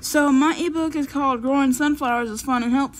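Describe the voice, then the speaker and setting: There is light background noise behind this woman. She speaks at a moderate pace and sounds somewhat breathy. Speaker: vlogger. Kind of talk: casual vlog chat. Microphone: phone near.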